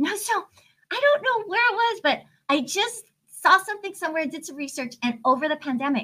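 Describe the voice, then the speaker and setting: The speaker uses a raised, projected voice at a fairly quick pace, the tone bright and sharp with very wide pitch swings. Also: woman. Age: 50s. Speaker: life coach and author. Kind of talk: podcast interview.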